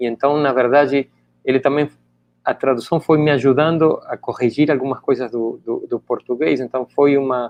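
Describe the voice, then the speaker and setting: At a moderate pace, a man with a Spanish accent talks with fairly even intonation. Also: fairly high pitch for a man. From Argentina, Buenos Aires. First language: Spanish (speaking Portuguese). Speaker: author and education scholar. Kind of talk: interview. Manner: halting, many repetitions.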